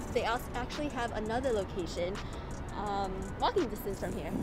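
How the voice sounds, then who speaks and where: Clear music sits in the background. The voice moves at a moderate pace in a dry sound with no echo. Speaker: food vlogger. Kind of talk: casual vlog chat. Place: street. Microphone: phone near.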